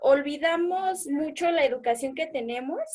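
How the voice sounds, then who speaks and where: A woman speaks with ordinary pitch variation. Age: young. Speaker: youth group participant. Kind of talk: casual chat.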